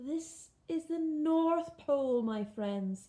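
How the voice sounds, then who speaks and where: A woman puts on a character voice at a high pitch. She speaks at a very slow pace. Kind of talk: bedtime story. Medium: read story. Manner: warm, kindly.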